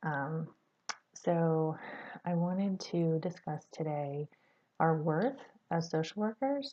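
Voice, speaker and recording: A quiet woman's voice, fairly low in pitch, at a very slow pace with long, frequent pauses and lively intonation. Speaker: social work student. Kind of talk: video class post. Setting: at workplace, early morning. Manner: hesitant, many fillers.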